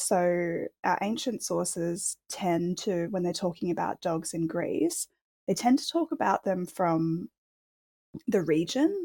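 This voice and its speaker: A woman's dark, mellow, fairly low voice in an Australian accent, very slow, with a dry, close sound and no echo. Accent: normal Australian. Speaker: archaeologist, dog history researcher. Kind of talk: interview, expert explanation. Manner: hesitant, many fillers.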